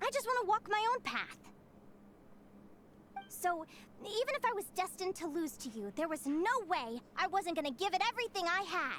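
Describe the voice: A woman's put-on character voice, extremely high in pitch, fairly bright in tone, with big pitch swings at a moderate pace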